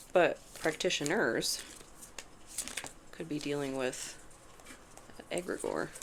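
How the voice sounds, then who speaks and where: Long, frequent pauses break up very slow speech while noticeable background noise continues. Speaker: tarot reader. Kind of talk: tarot reading monologue. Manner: casual, conversational; halting, stuttering over words.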